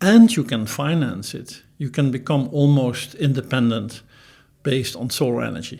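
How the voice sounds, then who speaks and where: A man with a dark, mellow tone and vocal fry speaks at medium pitch and a moderate pace, with lively intonation and big swings in loudness. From Netherlands. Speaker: professor. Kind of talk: interview.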